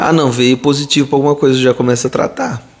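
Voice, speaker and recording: A man at a medium pitch talks while noticeable background noise carries on. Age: 40s. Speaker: pediatrician. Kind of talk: live Q&A stream. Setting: live video stream. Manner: casual, chatty.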